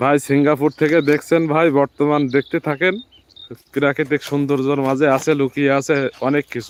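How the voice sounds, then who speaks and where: The man's fairly high voice comes through dry and close with no echo, his intonation monotone and flat. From Bangladesh, Jessore. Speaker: farm vlogger. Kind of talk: live stream commentary. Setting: outdoors in a field.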